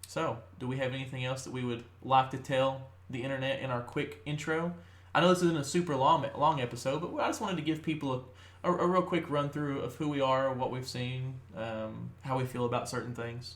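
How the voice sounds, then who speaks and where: A man with a Kentucky accent talks fairly quickly in a somewhat breathy voice of medium pitch, with ordinary pitch variation and audible room echo. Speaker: podcast host. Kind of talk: casual chat. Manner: talkative, with frequent fillers.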